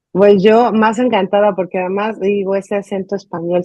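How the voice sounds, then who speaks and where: A woman with a Mexican accent speaks fairly slowly, her medium-pitched voice carrying a dark, mellow tone. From Mexico. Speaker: journalist, interview host. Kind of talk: interview.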